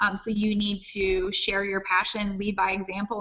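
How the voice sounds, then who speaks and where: Noticeable background noise sits behind this recording. A woman talks with monotone, flat intonation. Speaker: network marketing team leader. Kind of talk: webinar interview.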